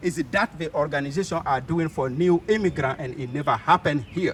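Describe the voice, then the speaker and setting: With a non-native accent, a man talks at a moderate pace and a fairly high pitch, his intonation lively. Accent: noticeable foreign. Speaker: community organizer. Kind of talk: speech at community event. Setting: private home event. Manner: halting.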